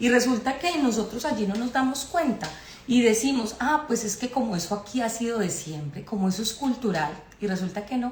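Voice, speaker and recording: In a Colombian accent, a woman with a fairly high pitch speaks at a fairly quick pace with lively intonation, over noticeable background noise. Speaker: spiritual astrology speaker. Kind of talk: live-stream talk. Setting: live stream.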